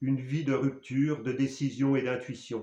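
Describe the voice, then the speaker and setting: His tone comes across dark and mellow. The man's pitch lands in the medium range. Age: 60s. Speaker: spiritual speaker. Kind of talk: personal testimony. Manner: halting.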